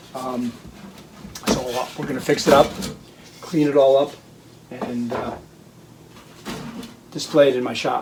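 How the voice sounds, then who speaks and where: A man talks at a medium pitch and a fairly slow pace, with long, frequent pauses. His intonation is monotone and flat, and noticeable background noise is present. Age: 60s. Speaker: hobby farm and restoration video maker. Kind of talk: casual personal narration to camera. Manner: hesitant, with many fillers.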